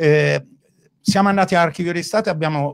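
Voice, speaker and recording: A man speaks in a high pitch. His pitch variation is ordinary. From Umbria, Gubbio. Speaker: winemaker. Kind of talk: casual chat. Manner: loud.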